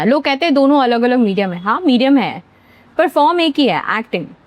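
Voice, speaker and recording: A high-pitched woman speaks at a moderate pace with very wide pitch swings. The sound is dry and close, with no echo. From central India, Bhopal, Madhya Pradesh. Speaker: actor. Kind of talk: interview.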